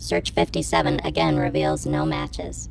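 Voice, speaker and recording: Clear background noise surrounds a put-on character voice pitched very deep and low. It moves at a moderate pace. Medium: audio drama. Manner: flat, mechanical.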